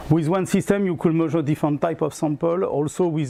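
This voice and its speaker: Speaking with a French accent, a man has a fairly high pitch, a dark, mellow tone and ordinary pitch variation. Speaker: product sales trainer. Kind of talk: product presentation. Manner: halting.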